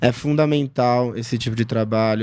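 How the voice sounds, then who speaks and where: The tone is dark and mellow, the intonation fairly even, and the recording very clean with a silent background. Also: man. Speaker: psychoanalyst. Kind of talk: interview. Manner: soft-spoken.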